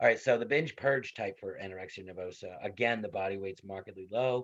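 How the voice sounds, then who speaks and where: Over a quiet background, a man speaks at a very fast pace with a Western New York accent. His pitch varies in an ordinary way. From Western New York, USA.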